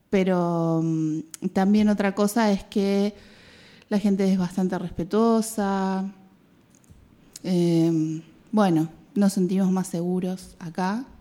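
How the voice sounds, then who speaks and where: Very slow, monotone speech from a woman with a Rioplatense accent, dark and mellow in tone, with long, frequent pauses, in a very clean recording with a silent background. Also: medium pitch for a woman. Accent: Argentine Rioplatense Spanish. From Argentina, Mar del Plata. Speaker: biologist and women's health educator. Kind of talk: radio interview.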